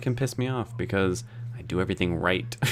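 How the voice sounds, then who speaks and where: Over music in the background, a man talks at a fairly quick pace with fairly even intonation and a medium pitch. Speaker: live streamer. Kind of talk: casual livestream chat. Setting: online livestream.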